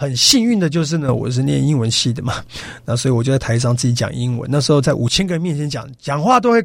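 A man talks at a very fast pace, somewhat breathy, at medium pitch with ordinary pitch variation. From Taiwan, Yilan. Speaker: business coach, education founder. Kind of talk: radio interview. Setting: radio studio.

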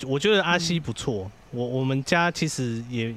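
Using very wide pitch swings, a man at a medium pitch speaks at a moderate pace. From Taiwan, Chiayi. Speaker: social worker and podcaster. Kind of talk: casual chat.

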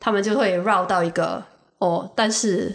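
This woman's voice sits at a medium pitch. Vocal fry runs through it. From Singapore. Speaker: guest, visiting friend. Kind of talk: casual chat.

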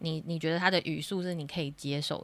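A woman's fairly low voice at a fairly quick pace, fairly even in intonation, on a very clean recording with a silent background. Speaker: online English teacher. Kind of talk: interview.

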